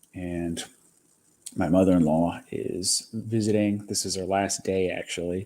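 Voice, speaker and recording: A man speaks quietly in a very deep, low voice with a dark, mellow tone. His intonation stays monotone and flat. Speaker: live streamer. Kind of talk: casual chat. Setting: home kitchen. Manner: quiet, keeping voice down.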